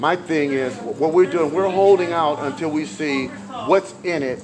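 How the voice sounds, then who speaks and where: A man talks at a moderate pace with lively intonation while noticeable background noise runs behind him. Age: 60s. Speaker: activist, retired bus driver. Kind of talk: street interview. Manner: halting, many repetitions; animated.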